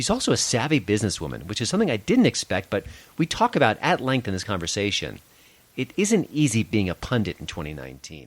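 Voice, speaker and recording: A man with an American accent talks at a very fast pace with vocal fry. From US Northeast, Long Island. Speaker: podcast host, film critic. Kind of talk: podcast interview.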